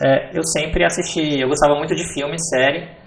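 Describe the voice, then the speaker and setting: A man speaks at a fairly high pitch with fairly even intonation. Noticeable background noise and audible room echo surround him. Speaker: backend developer. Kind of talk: podcast interview.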